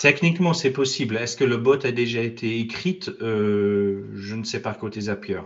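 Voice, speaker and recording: A man's normal speaking voice, fairly slow in pace, with ordinary pitch variation. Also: medium pitch for a man. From Ireland, also raised in US and France. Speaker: IT consultant and business owner. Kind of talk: interview.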